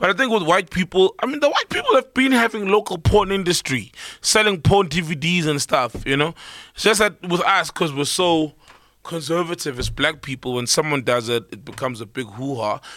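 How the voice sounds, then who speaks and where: At a fairly quick pace, a man speaks with a high pitch, very wide pitch swings and a bright, sharp tone. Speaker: podcast co-host. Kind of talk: casual chat. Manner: animated.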